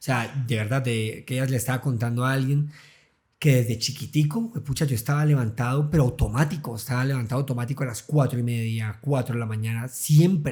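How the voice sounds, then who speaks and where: Speaking in a Santander accent at a fairly quick pace, a man uses a medium-pitched, somewhat breathy voice with a dark, mellow tone. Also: fairly even intonation. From Colombia, Santander (Bucaramanga). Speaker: journalist and content creator. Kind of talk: casual interview chat.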